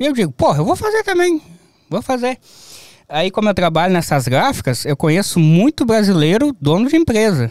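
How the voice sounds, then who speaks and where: The high-pitched voice of a man moves at a moderate pace with very wide pitch swings, in a dry sound with no echo and a quiet background. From southern Brazil, Rio Grande do Sul (near Uruguay). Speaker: graphic designer; interview guest. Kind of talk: casual chat. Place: studio. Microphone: studio mic.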